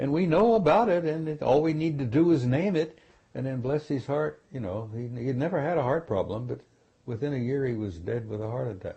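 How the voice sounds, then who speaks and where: A man talks at a moderate pace in a fairly high pitch. His voice is somewhat breathy. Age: 70s. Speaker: retired military officer, UFO disclosure speaker. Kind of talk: interview.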